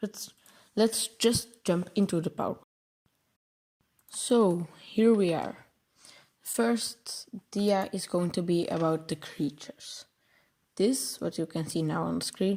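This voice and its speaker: Dark, mellow tone at a fairly slow pace, with long, frequent pauses and ordinary pitch variation. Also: woman. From Belgium. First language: Dutch. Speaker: programming tutorial creator. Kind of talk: tutorial. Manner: halting, many filler words and self-corrections.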